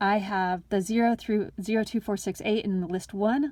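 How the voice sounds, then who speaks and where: A woman talks at a moderate pace. Her pitch is fairly high for a woman. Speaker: math teacher. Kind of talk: tutorial. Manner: casual.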